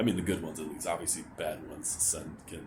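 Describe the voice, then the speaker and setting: With audible room echo and noticeable background noise around him, a man speaks at a fairly quick pace. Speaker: vlogger. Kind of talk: personal vent vlog. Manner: halting; pitch rises when anxious.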